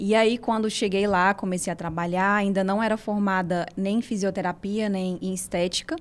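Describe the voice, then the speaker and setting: With hardly any pauses, a woman speaks at a moderate pace in a medium pitch and fairly even intonation over noticeable background noise. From Ceará interior and São Paulo, Brazil. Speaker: physiotherapist and spa owner. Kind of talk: interview.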